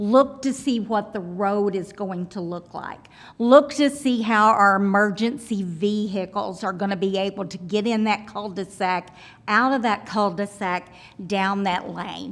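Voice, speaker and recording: A woman talks at a fairly slow pace. Her medium pitch shows ordinary variation. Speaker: resident speaking at public hearing. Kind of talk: public comment. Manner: loud.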